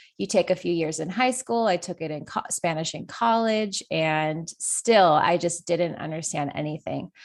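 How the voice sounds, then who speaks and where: The speaker talks at a moderate pace in an American accent, with ordinary pitch variation and hardly any pauses. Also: woman, fairly low pitch for a woman. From California. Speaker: online Spanish teacher. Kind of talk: podcast interview. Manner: casual.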